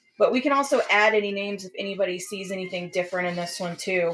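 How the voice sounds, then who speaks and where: Very fast speech with an American accent and ordinary pitch variation, over music in the background. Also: woman. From South Texas, near Corpus Christi. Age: 40s. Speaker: live art auction host and painter. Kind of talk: live stream product demonstration. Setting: live stream.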